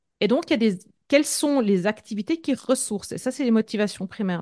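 Her unremarkable speaking voice sits at a fairly high pitch for a woman, with lively intonation and a dry, close sound with no echo over a quiet background. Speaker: entrepreneur and leadership coach. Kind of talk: casual interview.

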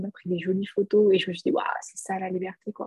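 A woman speaks at a medium pitch with a somewhat breathy voice, recorded dry and close with no echo. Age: 30s. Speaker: business coach and entrepreneur. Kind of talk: casual interview.

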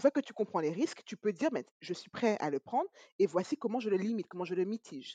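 In a dry, close sound with no echo, a woman's dark, mellow voice moves through very wide pitch swings. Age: 30s. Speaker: podcast host. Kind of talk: interview. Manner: upbeat.

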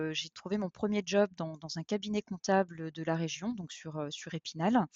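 Fairly slow and fairly even in intonation, this woman's voice sits fairly low in pitch. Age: 40s. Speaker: HR professional. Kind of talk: interview testimony. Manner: halting, many repetitions and fillers.

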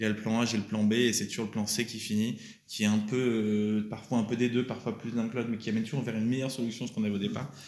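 A man's medium-pitched voice, very fast and flat in a monotone. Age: 30s. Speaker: entrepreneur. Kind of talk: interview. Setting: company office.

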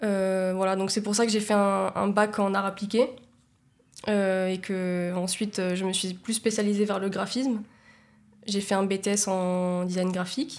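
Her delivery is extremely slow, with a medium-pitched woman's voice. The intonation stays monotone and flat. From Nice, France. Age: 20s. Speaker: communications agency co-founder. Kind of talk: casual interview.

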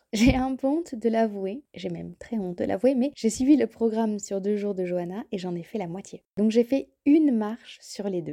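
In a dry, close recording with no echo, a woman with a dark, mellow tone and fairly high pitch talks at a moderate pace with hardly any pauses. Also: ordinary pitch variation. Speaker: podcast host, language learning. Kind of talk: casual solo narration and interview. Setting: outdoors, walking.

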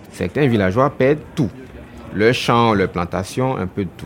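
Against noticeable background noise, a man with a fairly low voice speaks at a very slow pace. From Côte d'Ivoire. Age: 30s. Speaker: journalist. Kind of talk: interview. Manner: halting, repeats words.

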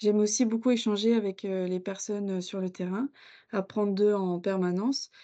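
A woman speaks at a medium pitch with a dark, mellow tone and monotone, flat intonation over a quiet background. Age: 20s. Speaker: workplace health and safety officer. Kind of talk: interview. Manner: halting.

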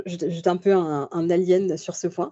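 A woman is talking. Her voice has a medium pitch. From Paris region, France. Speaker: book club host and association member. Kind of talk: interview. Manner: halting.

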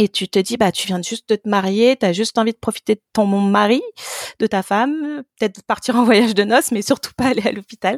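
A woman's fairly high-pitched voice at a fairly quick pace, an ordinary speaking voice, in a dry, close sound with no echo. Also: ordinary pitch variation. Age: 30s. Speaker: app co-founder. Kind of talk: interview.

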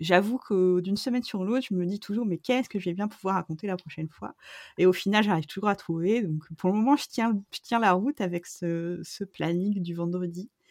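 A woman's medium-pitched voice with ordinary pitch variation at a moderate pace, dry and close with no echo on a very clean recording with a silent background. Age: 40s. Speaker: photographer. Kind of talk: interview. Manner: hesitant, many fillers.

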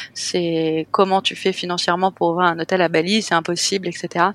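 A woman speaks with a fairly low pitch and fairly even intonation. The sound is dry and close with no echo, on a very clean recording with a silent background. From France, Cannes. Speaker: hotel owner. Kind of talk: interview.

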